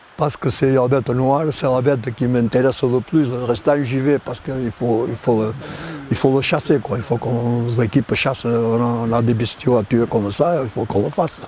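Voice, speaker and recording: Over noticeable background noise, a man speaks at a moderate pace and medium pitch with fairly even intonation. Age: 80s+. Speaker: hunting dog handler. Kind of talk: interview answer.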